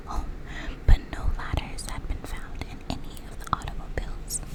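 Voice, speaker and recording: A woman whispers at a moderate pace, with noticeable noise in the background. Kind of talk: whispered audiobook-style reading of a mystery novel. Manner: whispered.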